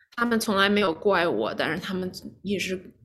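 The speaker is a woman with a medium pitch. She keeps her intonation fairly even. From China, Shijiazhuang (left at 7), raised in New York. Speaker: lawyer and memoir author. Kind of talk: interview. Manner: halting.

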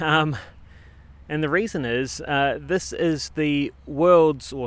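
Speaking in a New Zealand accent, a man has a fairly high-pitched voice. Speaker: podcast host, cycle tourist. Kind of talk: casual chat. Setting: outdoors.

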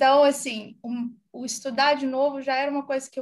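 A woman's high voice with a Brazilian accent. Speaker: HR director. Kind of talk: casual interview. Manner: hesitant, many fillers.

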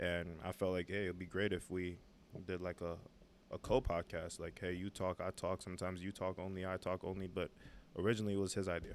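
Very deep, low pitch marks this man's New York accent. He speaks at a very fast pace with monotone, flat intonation. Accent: New York City. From New York City (Brooklyn). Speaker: podcast co-host, fitness coach. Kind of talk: casual chat.

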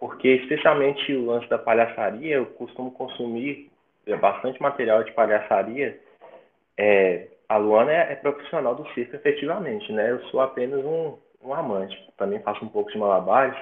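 At a moderate pace, a man talks in a normal speaking voice with a medium pitch and lively intonation. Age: 20s. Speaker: musician and music teacher. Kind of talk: interview.

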